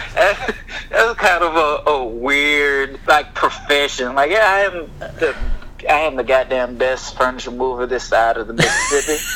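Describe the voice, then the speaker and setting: Over noticeable background noise, a man speaks at a fairly slow pace and fairly high pitch with ordinary pitch variation. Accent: American. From US South, Houston, Texas. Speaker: security worker, friend of host. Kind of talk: casual chat.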